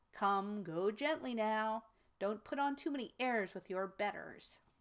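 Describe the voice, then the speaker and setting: A woman puts on a character voice with a fairly high pitch. She drawls at a moderate pace. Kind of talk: reading aloud a story. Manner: smug, contemptuous.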